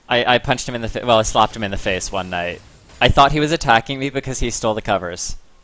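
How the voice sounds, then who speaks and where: A man talking at a very fast pace amid noticeable background noise. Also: medium pitch for a man, ordinary pitch variation. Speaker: esports shoutcaster. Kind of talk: live commentary. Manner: loud.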